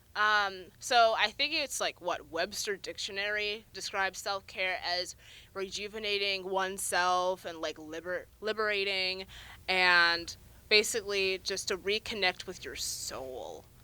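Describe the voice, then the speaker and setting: At a fairly slow pace, a woman speaks loudly in a bright, sharp tone at medium pitch with ordinary pitch variation. The recording is very clean, the background silent. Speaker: student podcast host. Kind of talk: casual chat. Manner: laughs a lot.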